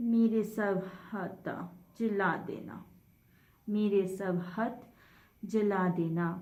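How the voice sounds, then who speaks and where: A woman speaks at a medium pitch with fairly even intonation. It is a normal speaking voice. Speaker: poet. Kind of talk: poetry reading.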